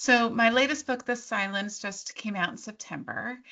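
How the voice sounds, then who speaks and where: A woman with a fairly high pitch talks at a fairly slow pace, her pitch varying in an ordinary way. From Delaware County, Pennsylvania. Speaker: young adult horror author. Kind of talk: author conversation. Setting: video call.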